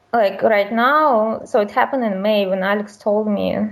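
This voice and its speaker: In a Russian accent, a woman speaks at medium pitch. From Russia, small town. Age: 30s. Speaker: caller. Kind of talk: call-in conversation about marriage.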